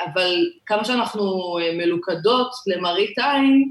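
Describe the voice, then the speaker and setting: A woman speaks with ordinary pitch variation. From Israel, Ashdod. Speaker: LGBTQ community activist and municipal strategy manager. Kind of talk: interview.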